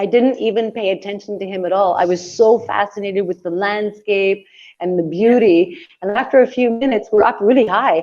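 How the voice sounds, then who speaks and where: In a plain, everyday voice with a Canadian accent, a woman talks at a fairly quick pace, her fairly high pitch showing ordinary variation. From Canada. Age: 60s. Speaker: traveller and author. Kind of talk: casual chat. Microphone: phone.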